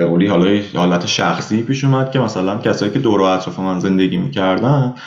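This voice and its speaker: A man with a Tehran accent talks at a fairly quick pace with ordinary pitch variation. There is audible room echo. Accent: Tehran Persian. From Iran, Tehran. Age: 20s. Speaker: emigrant, former engineering student. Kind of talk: casual interview.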